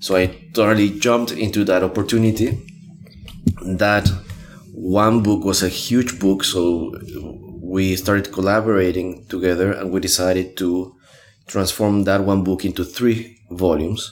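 With music in the background, a man with a Spanish accent and a very deep, low pitch speaks at a moderate pace in a monotone, flat intonation at very even loudness, leaving long, frequent pauses. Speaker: graphic recorder and trainer. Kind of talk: interview. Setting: in person in Melbourne. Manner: halting.

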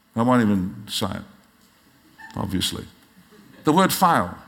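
A man with an Australian accent speaks at a moderate pace and a fairly low pitch, his voice making very wide pitch swings. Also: long, frequent pauses. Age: 60s. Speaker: pastor. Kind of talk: sermon. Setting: church.

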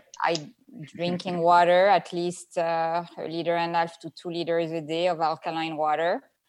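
A woman with a French accent at a moderate pace, fairly low in pitch, with monotone, flat intonation. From France. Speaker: skincare formulator and entrepreneur. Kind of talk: interview conversation. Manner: halting.

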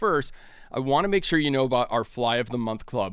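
A man with an American accent speaks at a very fast pace with lively intonation. The recording is very clean, with a silent background. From Northern California. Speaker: podcast host and fly shop owner. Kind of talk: promotional read; casual chat.

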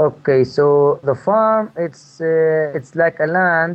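A man with an Arabic accent and a fairly high pitch. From Palestine, West Bank village. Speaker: permaculture farmer. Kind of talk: interview. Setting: phone call. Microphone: poor phone line, digital interference.

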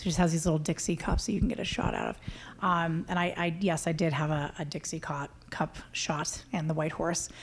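This woman talks at a fairly quick pace with an American accent and a fairly low pitch. Her voice is somewhat breathy, with fairly even intonation. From Colorado, Idaho Springs. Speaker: novelist. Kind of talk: author interview before a live audience. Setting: bookstore with live audience.

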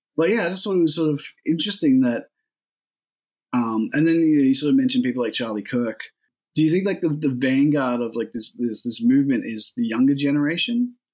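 A man with an Australian accent speaks at a fairly quick pace in a fairly high pitch, with very wide pitch swings. His speech has long, frequent pauses. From rural New South Wales, Australia. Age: 30s. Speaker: podcast interviewer. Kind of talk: interview. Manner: halting.

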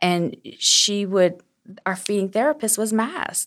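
Using a normal speaking voice, a woman talks at a fairly slow pace, with a medium pitch and ordinary pitch variation. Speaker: small business owner, seamstress. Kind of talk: casual interview chat. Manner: sweet, friendly.

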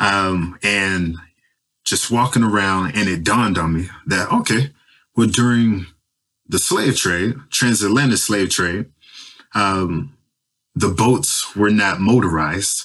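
A bright, sharp tone at a very slow pace, with long, frequent pauses, ordinary pitch variation and an American accent. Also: man, fairly low pitch for a man. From US South, Nashville, Tennessee. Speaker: PhD student in atmospheric science. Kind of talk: interview. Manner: casual with many filler words.

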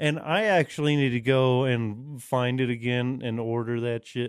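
Speaking at a fairly slow pace, a man uses a normal speaking voice at medium pitch with fairly even intonation. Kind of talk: casual chat.

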